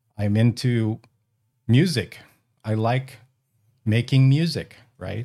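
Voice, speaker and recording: Speaking at a fairly slow pace with an American accent, a man has a dark, mellow tone, a medium pitch, and ordinary pitch variation. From US West Coast, Northern California (Bay Area). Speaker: ham radio podcaster and battery builder. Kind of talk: casual chat. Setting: video call.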